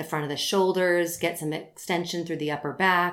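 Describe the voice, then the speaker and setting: A woman speaks in a normal speaking voice at a fairly quick pace, with fairly low pitch and fairly even intonation. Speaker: Pilates instructor and podcast host. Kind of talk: casual chat; sales pitch.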